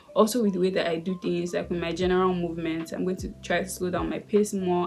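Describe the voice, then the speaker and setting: Very fast, monotone speech from a woman with a fairly low pitch, flat in intonation, over noticeable background noise. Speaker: lifestyle YouTuber. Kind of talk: casual vlog talk. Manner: sped-up playback.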